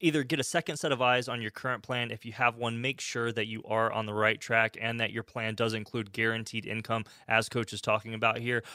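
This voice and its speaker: On a very clean recording with a silent background, a man with a bright, sharp tone talks with fairly even intonation and hardly any pauses. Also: medium pitch for a man. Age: 30s. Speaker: radio co-host. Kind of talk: radio talk show. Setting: studio.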